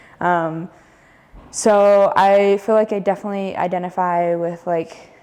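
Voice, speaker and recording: Speaking at a medium pitch, a woman talks with an American accent. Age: 20s. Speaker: college student. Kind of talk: interview answer. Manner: hesitant, many filler words.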